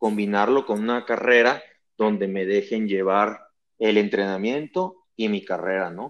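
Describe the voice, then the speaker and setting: Against a quiet background, a man with a plain, everyday voice and fairly low pitch speaks at a fairly slow pace with fairly even intonation. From Guadalajara, Mexico. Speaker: olympic triathlete and coach. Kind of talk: interview.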